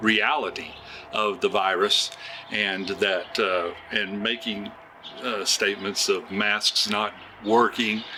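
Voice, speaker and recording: A man with an American accent and a fairly low pitch, speaking at a very slow pace amid noticeable background noise. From Oklahoma, USA. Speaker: retired music teacher and oil field worker. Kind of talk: interview answer. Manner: hesitant, many fillers.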